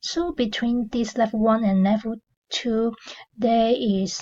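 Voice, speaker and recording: Somewhat breathy, a woman speaks in a dark, mellow tone with ordinary pitch variation. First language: not English. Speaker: affiliate marketing reviewer, channel owner. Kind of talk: product review video. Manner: hesitant, many fillers.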